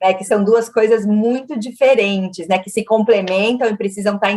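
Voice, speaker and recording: With a São Paulo accent, a woman speaks at a moderate pace in a fairly high pitch with fairly even intonation. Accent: São Paulo (paulistano), picked up over years. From Minas Gerais, Brazil (Uberaba). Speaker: marketing executive. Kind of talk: interview.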